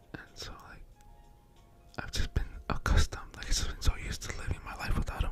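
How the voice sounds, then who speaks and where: Whispering with an American accent, a man speaks at a very fast pace with long, frequent pauses while music plays in the background. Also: big swings in loudness. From California, US. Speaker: ASMR YouTuber. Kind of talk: casual personal ramble. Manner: soft-spoken; hesitant, many fillers.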